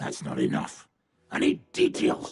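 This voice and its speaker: A man uses a put-on character voice that sounds raspy. He speaks at a fairly slow pace. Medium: video game. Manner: gruff, blunt, crude.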